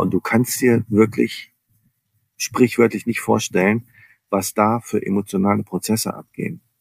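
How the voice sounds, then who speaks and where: A normal speaking voice moves at a moderate pace with fairly even intonation, captured dry and close with no echo in a very clean recording with a silent background. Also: man. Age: 50s. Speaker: business coach. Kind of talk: interview.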